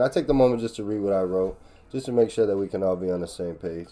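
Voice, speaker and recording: A man talks at a very fast pace in a dark, mellow tone. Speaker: MMA reaction YouTuber. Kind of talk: casual commentary. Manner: halting.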